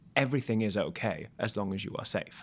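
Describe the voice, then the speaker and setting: Recorded very cleanly against a silent background, a man with a British accent speaks at a fairly quick pace with ordinary pitch variation. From Wales. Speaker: musical theatre actor. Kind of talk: casual chat.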